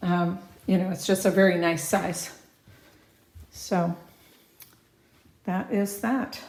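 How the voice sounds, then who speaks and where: Against noticeable background noise, a woman talks at a medium pitch with fairly even intonation. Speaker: real estate agent. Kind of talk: property walkthrough tour. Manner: casual, conversational.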